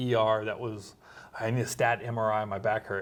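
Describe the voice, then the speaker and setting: A man talks at a fairly quick pace in an unremarkable speaking voice. His pitch sits in the medium range. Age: 40s. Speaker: doctor and military veteran. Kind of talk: casual chat.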